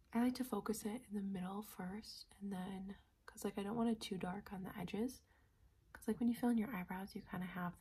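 A woman speaks softly at a moderate pace. Her tone is dark and mellow, and somewhat breathy. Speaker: beauty vlogger. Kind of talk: casual tutorial chat. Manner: soft-spoken, hushed ASMR voice. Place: home room. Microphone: phone near.

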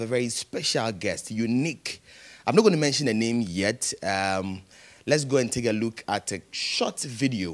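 A man of medium pitch talks at a moderate pace with ordinary pitch variation. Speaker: TV talk show host. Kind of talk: TV interview. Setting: TV studio. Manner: animated. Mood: warm, lively. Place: studio. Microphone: handheld.

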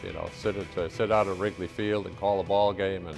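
Clear music plays in the background behind a speaker with an American accent. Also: man. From United States. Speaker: veteran college football radio play-by-play announcer. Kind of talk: interview answer, reflective reminiscing. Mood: warm, nostalgic. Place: office. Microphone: lapel.

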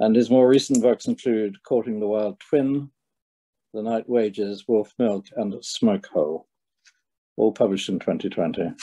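Over a quiet background, a man talks at a fairly slow pace in a dark, mellow tone with ordinary pitch variation. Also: medium pitch for a man. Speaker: book publisher. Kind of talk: conversation. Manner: halting. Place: home room. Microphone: webcam.

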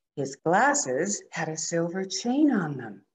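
A somewhat breathy woman at a very slow pace, with very wide pitch swings. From Alberta, Canada. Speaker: storyteller, retired teacher. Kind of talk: storytelling, reading a children's picture book aloud. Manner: animated, playful, expressive. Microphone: webcam.

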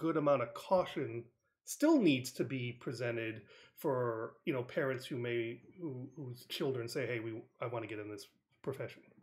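The voice belongs to a man and is somewhat breathy. He speaks with an American accent. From New England (Connecticut). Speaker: podcast host. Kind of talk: interview.

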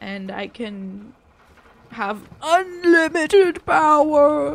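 A high, very slow put-on character voice with very wide pitch swings. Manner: menacing, theatrical.

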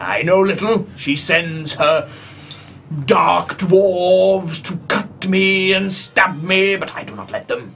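At a fairly slow pace, someone speaks in a put-on character voice at a middle pitch. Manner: grandiose, shouting, unhinged.

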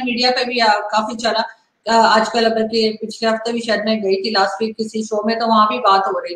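In a room with audible echo, a woman with a fairly high pitch talks at a moderate pace in a monotone, flat intonation, with hardly any pauses. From Pakistan. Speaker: political talk show host. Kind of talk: interview. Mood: calm, serious. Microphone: video call.

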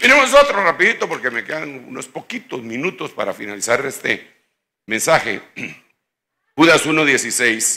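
Taking long, frequent pauses, a man speaks at a fairly slow pace with a fairly high pitch, a bright, sharp tone, very wide pitch swings and big swings in loudness. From Guatemala. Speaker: pastor. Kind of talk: sermon. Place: church. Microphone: handheld.

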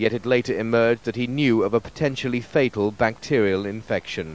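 Man with a British accent, medium pitch and a fairly quick pace. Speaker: news reporter. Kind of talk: news report.

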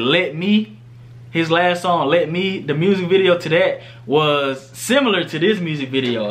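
The speaker is a man with a high voice. His pitch moves in an ordinary way. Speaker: reaction vlogger. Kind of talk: casual vlog chat. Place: home room. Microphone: phone near.

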